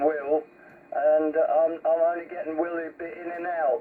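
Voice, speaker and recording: At a fairly slow pace, a man speaks with a fairly high pitch against noticeable background noise. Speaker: CB radio operator. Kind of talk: casual radio chat. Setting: CB radio.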